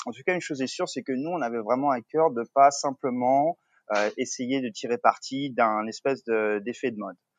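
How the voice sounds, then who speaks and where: In a dry, close sound with no echo and a quiet background, a man of medium pitch talks at a moderate pace with ordinary pitch variation. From Paris suburbs, France. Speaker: co-founder of a coworking business. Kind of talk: interview. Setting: remote call from a coworking terrace. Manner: halting, many fillers and repetitions.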